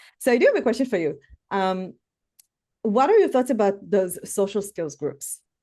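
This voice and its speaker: Against a quiet background, a woman with a non-native accent and a dark, mellow tone talks at a very fast pace. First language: not English. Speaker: educational therapist and podcast host. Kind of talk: podcast interview.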